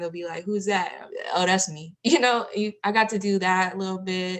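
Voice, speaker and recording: A woman speaks with an American accent in a plain, everyday voice. Her pitch is medium and her intonation fairly even. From San Diego, California. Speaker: rapper and singer. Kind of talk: interview. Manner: casual, many fillers.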